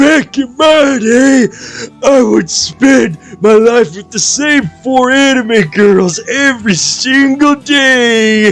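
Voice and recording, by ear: A man does a put-on character voice at an extremely high pitch. He speaks very slowly over faint background music.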